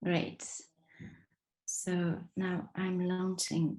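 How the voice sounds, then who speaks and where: Breathing lightly through her words, a woman speaks in a French accent at a medium pitch. Her intonation stays fairly even. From France, Marseille. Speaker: design trainer. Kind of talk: online workshop. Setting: video call. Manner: hesitant, many fillers.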